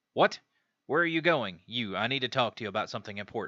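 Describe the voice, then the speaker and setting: Putting on a character voice at a medium pitch, a man rattles along at a very fast pace. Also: dry, close sound with no echo. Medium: game stream.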